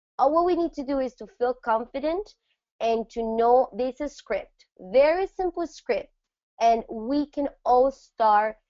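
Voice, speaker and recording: The pace is fairly slow. Pitch swings very widely. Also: woman. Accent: Spanish. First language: Spanish. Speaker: network marketing trainer. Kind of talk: training presentation.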